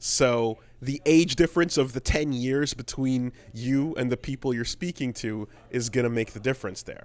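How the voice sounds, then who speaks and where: This is a man with an ordinary speaking voice at a medium pitch. He talks at a moderate pace with ordinary pitch variation. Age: 30s. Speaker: podcast co-host. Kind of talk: casual chat. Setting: podcast recorded live on stream.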